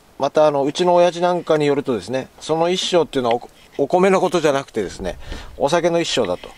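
Someone speaks with a Tochigi accent in a dry sound with no echo. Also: man. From Tochigi, Japan. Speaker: outdoor camping vlogger. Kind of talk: casual talk to camera. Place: waterside. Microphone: phone near.

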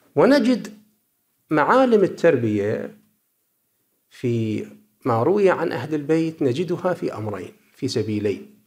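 This man talks at a very slow pace with long, frequent pauses, his fairly high voice swinging very widely in pitch. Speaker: cleric researcher. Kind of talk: conference paper presentation.

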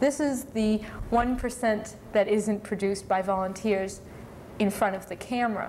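A woman talks at a fairly slow pace with ordinary pitch variation. Light background noise can be heard. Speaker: cable access station host. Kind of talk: live call-in show host talk. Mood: friendly, upbeat. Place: studio. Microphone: lapel.

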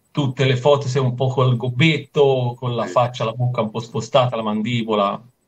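A man speaks with fairly even intonation and a somewhat breathy voice, barely pausing. The background is quiet. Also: moderate pace. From Italy, island of Elba (Tuscany); Tuscany, Italy. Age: 50s. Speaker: amateur windsurfer and surfer; interviewee. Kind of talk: interview. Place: home room. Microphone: video call.

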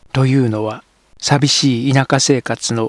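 In a normal speaking voice, the speaker goes at a fairly slow pace with fairly even intonation, the sound dry and close with no echo on a very clean recording with a silent background. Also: man. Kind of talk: literary audiobook reading, scripted narration of a translated novel. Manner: steady, measured, even narrator's pace with formal literary diction.

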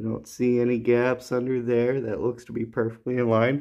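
A man speaks at a moderate speed against a quiet background. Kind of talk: tutorial. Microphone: phone near.

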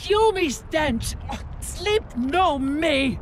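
A high-pitched put-on character voice sounds angry over clear background noise. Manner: angry pidgin speech, scolding.

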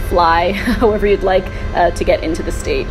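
A woman talks at a moderate pace while music plays in the background. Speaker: travel blogger. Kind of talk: casual vlog chat. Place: garden. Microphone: phone near.

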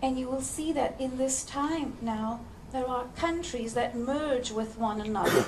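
Over light background noise, the speaker goes at a fairly slow pace with ordinary pitch variation. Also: woman, high pitch for a woman. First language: English (speaking Russian). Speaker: spiritual channeler. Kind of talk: channeled lecture. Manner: slow, in short phrases paused for interpretation. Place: hall. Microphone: headset.

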